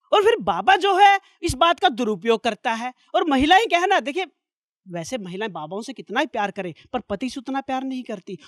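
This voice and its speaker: An extremely high man's voice, with very wide pitch swings, big swings in loudness, and a dry, close sound with no echo. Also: moderate pace. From Sirsa, Haryana. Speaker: stand-up comedian and poet. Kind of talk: stand-up comedy set.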